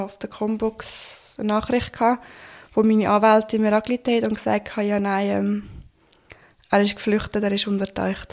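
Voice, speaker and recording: A woman's fairly high voice at a moderate pace. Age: 20s. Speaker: assault survivor telling her story. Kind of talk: testimony.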